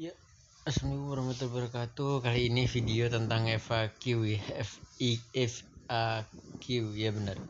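Fairly even intonation and a medium pitch mark a man's speech, which moves at a moderate pace. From Indonesia. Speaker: YouTuber answering viewer questions. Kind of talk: casual Q&A monologue. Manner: halting, many fillers.

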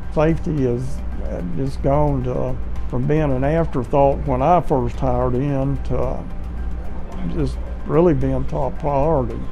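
Over clear background music, a man speaks at a fairly slow pace with long, frequent pauses. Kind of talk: interview answer. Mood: proud, reflective. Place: office.

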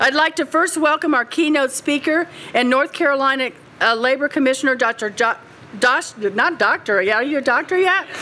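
Over noticeable background noise, a woman projects a raised voice at a high pitch with ordinary pitch variation, very even loudness and a moderate pace. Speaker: university chancellor. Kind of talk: ceremonial welcome speech. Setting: podium before live audience.

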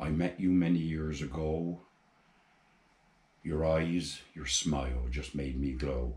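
A man with a Gloucestershire accent speaks at a very deep, low pitch, somewhat breathy, with fairly even intonation. He talks at a very slow pace with long, frequent pauses, and room echo is audible. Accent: Forest of Dean. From England, Forest of Dean, Gloucestershire; England. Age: 80s+. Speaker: amateur poet. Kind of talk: poetry reading; personal introduction. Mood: tender, wistful. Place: home room.

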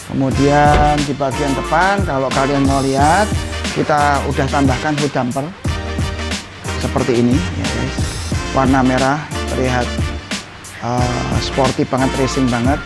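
A man's voice with long, frequent pauses and clear music in the background. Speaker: presenter. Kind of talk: casual walkthrough commentary. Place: workshop. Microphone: lapel.

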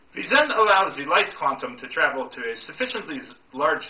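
Audible room echo colors a man's speech, delivered at a moderate pace. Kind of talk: storytelling lecture. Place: home room. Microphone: camera far.

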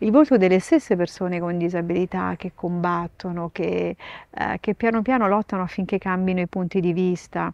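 Recorded dry with no echo over a quiet background, a woman speaks at a moderate pace with ordinary pitch variation. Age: 50s. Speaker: nun and sign language interpreter; interviewee. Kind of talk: interview. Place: garden. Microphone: lapel.

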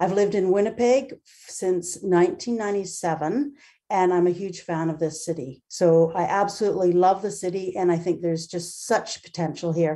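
Her medium-pitched voice carries a dark, mellow tone. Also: ordinary pitch variation, moderate pace, quiet background. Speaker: founder of newcomer sports nonprofit. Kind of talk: public delegation presentation. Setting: video call. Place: home room. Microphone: webcam.

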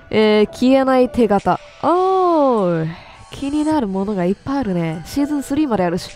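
With music in the background, a woman talks in a high pitch that swings very widely. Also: moderate pace. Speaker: game streamer. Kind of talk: horror game commentary with story reading.

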